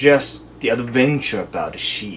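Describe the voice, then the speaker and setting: A man with a Japanese accent talks at a fairly slow pace and medium pitch. Background noise is noticeable. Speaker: book reviewer. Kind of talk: casual book review monologue.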